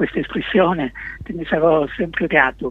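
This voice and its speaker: A man speaks at a moderate pace in a high pitch. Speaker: musician and singer-songwriter. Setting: phone call. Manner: articulate, literary.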